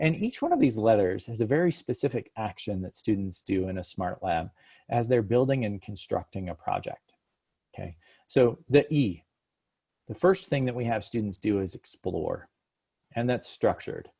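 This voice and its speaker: Somewhat breathy and dark, mellow in tone, the voice moves at a moderate pace with lively intonation. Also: man, medium pitch for a man. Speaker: education company executive presenting a webinar. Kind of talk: webinar presentation.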